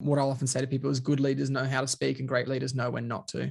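Somewhat breathy, a man speaks at a medium pitch. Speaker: leadership trainer, coach and author. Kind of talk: interview conversation.

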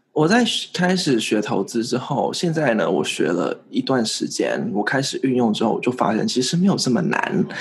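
Noticeable background noise sits behind a man with a fairly high pitch. He barely pauses, and his pitch swings very widely. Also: moderate pace, very even loudness. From Vietnam. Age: 20s. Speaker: investing YouTuber. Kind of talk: interview.

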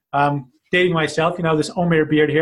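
A man's high voice with an American accent, fairly quick and fairly even in intonation. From US Mid-Atlantic, Washington DC area. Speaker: founder of a healthy-eating nonprofit. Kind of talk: casual interview.

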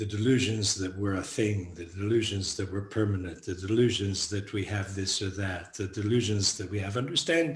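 The speaker is a man with a somewhat breathy voice. He keeps a moderate pace. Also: fairly low pitch for a man, ordinary pitch variation, hardly any pauses. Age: 70s. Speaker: Buddhist monk and teacher. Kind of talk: dharma talk.

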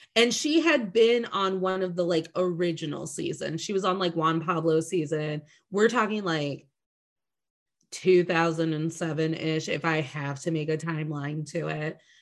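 The pace is moderate. Pitch variation is ordinary. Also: woman, fairly low pitch for a woman. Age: 30s. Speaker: podcast host. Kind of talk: casual chat. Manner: animated.

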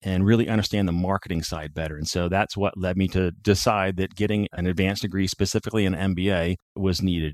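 The speech comes at a very fast pace with hardly any pauses, in an American accent and a monotone, flat intonation. The sound is dry and close with no echo over a quiet background. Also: man, very deep, low pitch for a man. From Northwest Ohio, US Midwest. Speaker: military veteran, nonprofit founder. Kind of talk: interview.

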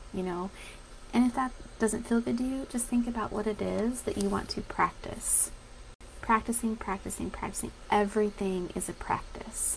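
Noticeable background noise runs under this woman's voice. She has an American accent and speaks at a moderate pace. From Colorado. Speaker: dietitian and podcast host. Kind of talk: casual Facebook live talk.

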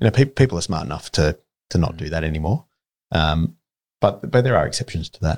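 With an Australian accent and a very deep, low pitch, a man talks at a very fast pace, using long, frequent pauses, very wide pitch swings and big swings in loudness. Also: dry, close sound with no echo. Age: 40s. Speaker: building materials company executive. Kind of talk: interview.

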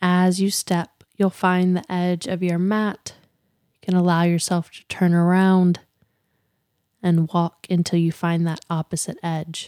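A woman's fairly low pitch and dark, mellow tone, calm and soothing, with monotone, flat intonation at a fairly slow pace, in a very clean recording with a silent background and a dry, close sound with no echo. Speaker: yoga podcast host and meditation guide. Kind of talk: slow guided walking meditation with breath cues. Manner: calm, soothing, unhurried with gentle pauses; softly instructive, repetitive present-tense prompts.

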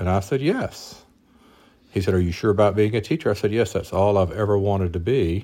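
In a Mississippi accent, the speaker has a dark, mellow tone and ordinary pitch variation. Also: man. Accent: Southern US (Mississippi). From US South, North Mississippi. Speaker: physician, husband of host. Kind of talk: casual interview, personal story.

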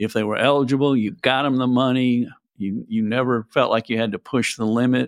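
In an unremarkable speaking voice, a man talks at a medium pitch. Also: fairly even intonation, dry, close sound with no echo. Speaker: podcast host, tax expert. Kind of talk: casual interview chat.

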